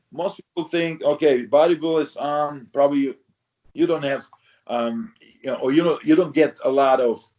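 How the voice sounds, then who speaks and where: Speech comes at a moderate pace with a non-native accent. The pitch varies in an ordinary way. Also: man, fairly high pitch for a man. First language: not English. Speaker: retired professional bodybuilder. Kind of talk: interview. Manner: halting, many fillers.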